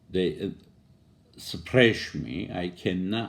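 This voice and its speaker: A man with a non-native accent speaks very slowly in a very deep, low voice with vocal fry. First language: non-native English speaker. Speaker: poet and commentator. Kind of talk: video monologue on politics. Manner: halting.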